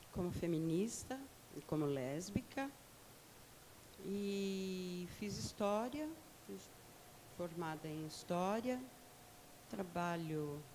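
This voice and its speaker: A woman speaks very slowly at a fairly low pitch, with lively intonation and long, frequent pauses. Noticeable background noise and audible room echo fill the recording. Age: 60s. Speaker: activist. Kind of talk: panel discussion.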